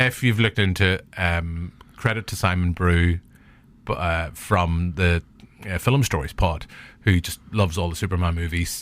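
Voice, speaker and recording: A man with a Northern Irish accent speaks at a moderate pace in a very deep, low voice. The recording is very clean, with a silent background. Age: 40s. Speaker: podcast host. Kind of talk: casual chat. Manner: animated.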